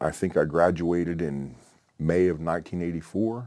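With an American accent, a man speaks at a moderate pace in a very deep, low pitch with a dark, mellow tone. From Oklahoma. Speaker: military veteran, retired paramedic. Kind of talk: interview testimony. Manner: halting, many fillers.

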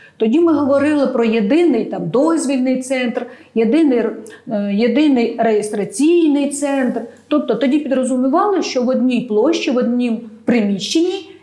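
High-pitched with ordinary variation, a woman talks at a moderate pace. There is noticeable background noise. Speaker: expert on administrative service centres. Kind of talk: expert panel discussion.

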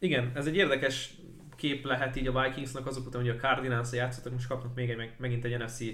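A man at a medium pitch and a very fast pace, with audible room echo. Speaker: NFL podcast co-host and sports commentator. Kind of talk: casual sports podcast chat. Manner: hesitant, many repeated fillers.

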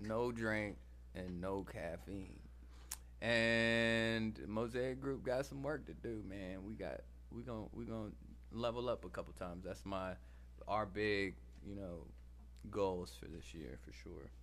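With an Atlanta accent, a man speaks at a fairly slow pace in a very deep, low pitch with very wide swings and long, frequent pauses, and room echo is audible. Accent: Southern US (Atlanta). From US South, Atlanta, Georgia. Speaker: musician. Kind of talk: casual chat.

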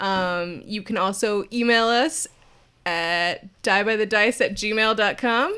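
A passage is read out in a natural voice, its pitch rising and falling by a normal amount.

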